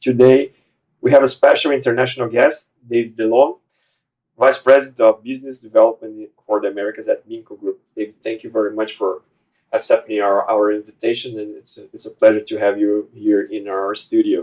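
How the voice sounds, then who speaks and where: With a Portuguese accent, a man speaks fairly quickly at a medium pitch, his intonation fairly even but his loudness swinging widely. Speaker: podcast host. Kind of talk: interview. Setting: studio. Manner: halting.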